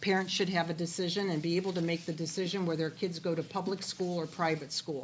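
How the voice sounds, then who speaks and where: Speaking with a Midwestern American accent, a woman uses monotone, flat intonation at a fairly low pitch. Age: 60s. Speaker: political candidate. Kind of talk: political forum answers.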